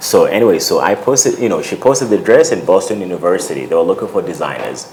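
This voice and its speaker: Noticeable background noise runs beneath speech delivered very fast. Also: man. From Uganda, raised in the US from childhood. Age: 30s. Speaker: fashion designer. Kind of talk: interview. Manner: casual, many fillers.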